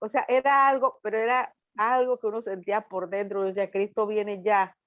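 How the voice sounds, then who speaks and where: A woman speaks at a moderate pace in a plain, everyday voice, her pitch fairly high. Her intonation stays fairly even, and the sound is dry and close with no echo. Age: 60s. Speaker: student in a Bible course. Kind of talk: class discussion.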